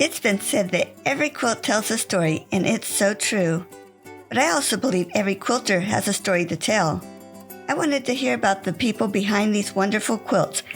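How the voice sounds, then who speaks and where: Over music in the background, a woman of medium pitch speaks at a fairly quick pace with lively intonation and very even loudness. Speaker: podcast host, interviewer. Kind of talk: show intro narration.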